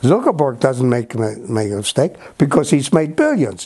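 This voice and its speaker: A man talks at a moderate speed with clear background noise present. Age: 80s+. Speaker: veteran newspaper editor. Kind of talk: talk to young journalists. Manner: repetitive, halting starts; emphatic.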